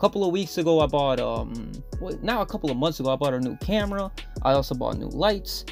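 Fairly quick speech over music in the background. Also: man. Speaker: vlogger. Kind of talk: casual vlog narration.

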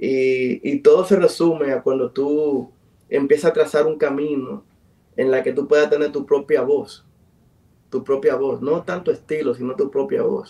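A man talks at a fairly slow pace in a fairly high pitch. His tone is dark and mellow, with ordinary pitch variation. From Dominican Republic, south (Enriquillo); Dominican Republic. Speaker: musician and producer; guest. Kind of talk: interview. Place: home room. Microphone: video call.

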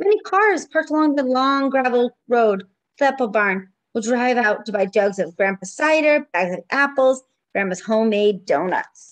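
A woman's high-pitched, warm, sing-song voice with very wide pitch swings, at a moderate pace against a quiet background. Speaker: preschool teacher. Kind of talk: children's story time, reading a picture book aloud. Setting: home video recording. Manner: warm, sing-song and engaging with young children. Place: home room. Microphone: webcam.

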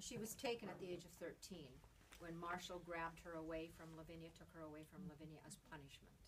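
A woman with a Canadian accent talks at a moderate pace and fairly low pitch over light background noise. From Saskatchewan, Canada. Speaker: novelist. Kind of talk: author talk at bookstore. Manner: casual, warm. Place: shop.

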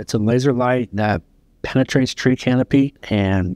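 At a fairly slow pace, a man talks in an unremarkable speaking voice with fairly even intonation, the sound dry with no echo and the background quiet. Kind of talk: interview answer. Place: office. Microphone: lapel.

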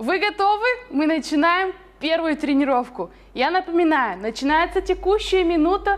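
Someone talks at a moderate pace over light background noise. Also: woman. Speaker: fitness instructor. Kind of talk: workout instruction. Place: gym.

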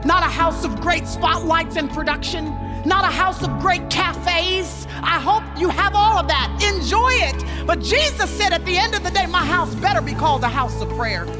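Over clear music in the background, a woman speaks at a moderate pace with hardly any pauses. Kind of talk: sermon. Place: stage. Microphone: headset.

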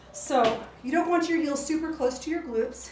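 A woman's voice with ordinary pitch variation comes through audible room echo and light background noise. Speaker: fitness instructor. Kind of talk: exercise class instruction. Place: garden. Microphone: camera far.

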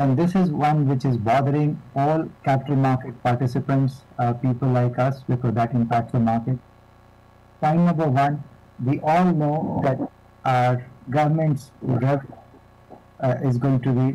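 A man at a moderate pace with fairly even intonation, very even loudness and long, frequent pauses. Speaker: panel moderator. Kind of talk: conference introduction questions. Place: office. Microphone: video call.

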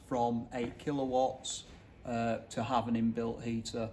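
Fairly slow speech over light background noise. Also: man. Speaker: product installer or trainer. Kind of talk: tutorial. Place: hall. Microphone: phone near.

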